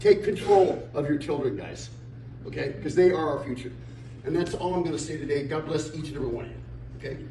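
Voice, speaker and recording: A man talks at a fairly quick pace with lively intonation. The recording has audible room echo and noticeable background noise. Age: 60s. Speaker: community speaker. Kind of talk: speech to audience. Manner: animated, emphatic.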